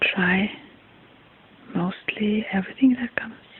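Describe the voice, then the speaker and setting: Soft-spoken and soothing in tone, the voice moves at a very slow pace. Noticeable background noise runs underneath. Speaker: ayurvedic health examiner (ASMR role-play). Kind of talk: ASMR role-play consultation. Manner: soft-spoken, soothing.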